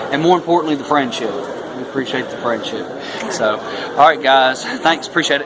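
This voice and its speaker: Noticeable background noise runs under this recording. A man speaks at a fairly high pitch. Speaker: YouTube history show host. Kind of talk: casual talk to camera.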